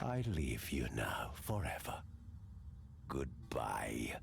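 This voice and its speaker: A man puts on a character voice, talking very slowly while clear background noise is heard. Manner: menacing, final.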